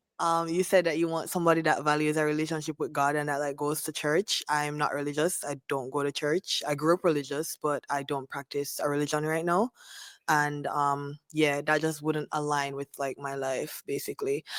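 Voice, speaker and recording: In a Jamaican accent, a woman with a very deep, low pitch speaks at a moderate pace in a monotone, flat intonation, the sound dry and close with no echo. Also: hardly any pauses. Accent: Jamaican accent, still present. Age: 30s. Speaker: dating show contestant. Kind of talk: casual chat.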